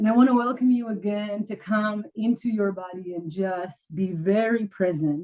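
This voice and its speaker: Medium-pitched female voice with a dark, mellow tone, ordinary pitch variation and a moderate pace. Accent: Israeli. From Israel. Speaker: academic writing coach. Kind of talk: live coaching call. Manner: halting, many fillers.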